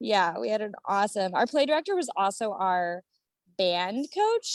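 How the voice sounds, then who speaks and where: This woman has an American accent and a medium pitch. The sound is dry and close, with no echo. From US Midwest, Akron, Ohio. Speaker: actress and model. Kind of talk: casual interview chat. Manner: animated.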